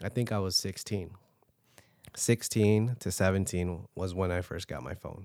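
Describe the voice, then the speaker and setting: An American man with a very deep, low voice and a dark, mellow tone speaks at a moderate pace with ordinary pitch variation, in a dry, close sound with no echo on a very clean recording with a silent background. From Filipino family, US. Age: 20s. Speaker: podcast co-host. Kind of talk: casual chat.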